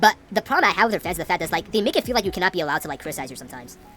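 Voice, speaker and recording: Music plays behind a woman who talks at a very fast pace with ordinary pitch variation. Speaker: gaming commentator. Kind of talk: gameplay commentary rant. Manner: stumbling over words.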